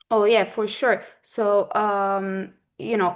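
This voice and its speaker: A woman talks in a medium pitch with a Turkish accent. The background is quiet. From Turkey. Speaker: corporate lawyer. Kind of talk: interview answer.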